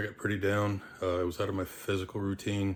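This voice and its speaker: In a very deep, low voice, a man talks at a fairly quick pace with monotone, flat intonation. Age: 60s. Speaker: strength coach. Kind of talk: casual talk to camera. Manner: direct, blunt.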